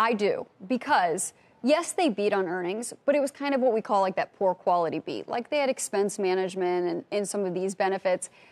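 The woman talks at a fairly quick pace. Her intonation is lively. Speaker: business news reporter. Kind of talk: panel discussion commentary. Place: studio. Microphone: lapel.

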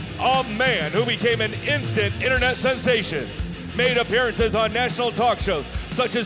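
Moderate pace with clear music in the background. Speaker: arena announcer. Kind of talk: arena PA announcement. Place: stadium.

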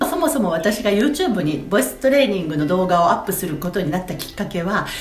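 A woman with a medium-pitched voice talks at a very fast pace with very wide pitch swings, over light background noise and audible room echo. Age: 40s. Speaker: voice trainer. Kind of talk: voice training lesson to camera. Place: home room. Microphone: phone near.

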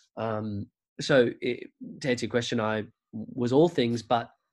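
This man has an Australian accent. He talks at a moderate pace. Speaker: musical theatre performer and writer. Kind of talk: casual chat.

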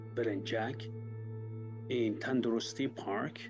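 A man talks at a fairly slow pace with clear music in the background. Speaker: channel host. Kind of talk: casual vlog storytelling. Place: home room. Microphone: webcam.

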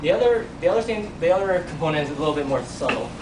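Intonation is lively throughout. Noticeable background noise is present. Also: man. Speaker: university teaching assistant. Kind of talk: classroom lab explanation. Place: classroom. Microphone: camera far.

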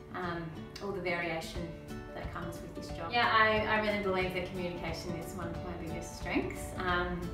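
A woman at a moderate pace, clear music in the background and audible echo in the room. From Melbourne, Australia. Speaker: osteopath. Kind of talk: interview answer. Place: office. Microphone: camera far.

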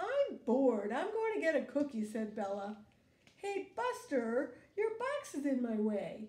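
This is an unforced reading voice. It is the only trait described here.

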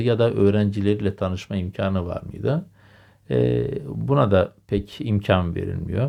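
A man's fairly low-pitched voice with a dark, mellow tone, lively intonation and a fairly slow pace against a quiet background. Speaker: history video lecturer. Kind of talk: lecture. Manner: hesitant, many filler sounds. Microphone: new microphone.

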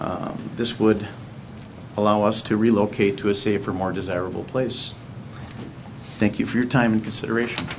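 A man's fairly low voice at a moderate pace, flat and monotone, with long, frequent pauses, audible room echo and noticeable background noise. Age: 70s. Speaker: resident speaking at public forum. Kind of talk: public comment at council meeting. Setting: city council meeting. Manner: formal.

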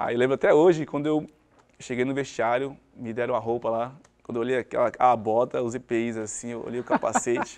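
A man with an unremarkable speaking voice and medium pitch talks at a fairly quick pace with fairly even intonation against a quiet background. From Brazil, Cubatão (São Paulo coast); São Paulo, Brazil. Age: 30s. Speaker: former professional footballer. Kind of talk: interview. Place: studio. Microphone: lapel.

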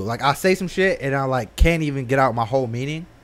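This man's voice sits fairly high and shows ordinary pitch variation. He keeps a moderate pace. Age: 20s. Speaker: podcast co-host. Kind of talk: casual chat. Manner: animated, laughing. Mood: relaxed, joking, uses profanity. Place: studio. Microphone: studio mic.

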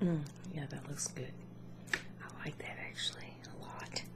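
Against loud background noise, a soft-spoken woman with a gentle tone speaks at a fairly slow pace. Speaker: makeup demonstrator. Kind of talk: casual makeup tutorial chat. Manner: soft-spoken, gentle ASMR murmur. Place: home room. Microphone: webcam.

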